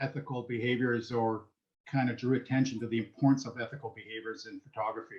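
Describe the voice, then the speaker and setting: A man with a slight French Canadian accent at a fairly quick pace. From French Canada. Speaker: professor, panel moderator. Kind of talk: panel moderation.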